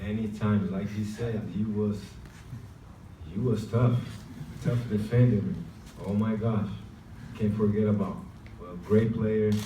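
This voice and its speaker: A man speaks with a non-native accent at a fairly low pitch, in a flat monotone and at a fairly slow pace. Long pauses come often, and room echo is audible. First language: Portuguese. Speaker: professional basketball player. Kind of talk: press conference.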